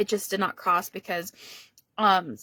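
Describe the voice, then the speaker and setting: A woman speaks at a fairly quick pace in a medium pitch, her tone bright and sharp. The sound is dry and close, with no echo. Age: 20s. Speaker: YouTuber. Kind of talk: casual sit-down talking video. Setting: sitting at home filming. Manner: casual, filler-heavy.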